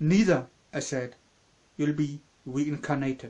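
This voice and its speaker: The speaker talks at a fairly slow pace with a strong German accent. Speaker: channel owner, story reader. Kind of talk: reading aloud.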